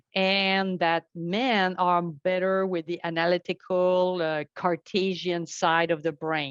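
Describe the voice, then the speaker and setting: Speaking very slowly in a French accent, a woman keeps a fairly low pitch and monotone, flat intonation with hardly any pauses, the sound dry and close with no echo over a quiet background. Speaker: network architect and tech instructor. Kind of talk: podcast interview.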